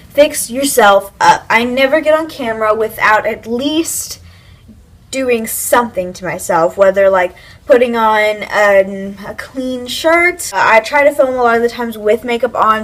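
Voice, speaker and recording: Noticeable background noise sits behind a woman speaking in a fairly high pitch. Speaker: YouTuber giving tips. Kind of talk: casual vlog talk to camera. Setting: home, filming with iPad camera. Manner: loud, projected voice; casual, filler-heavy.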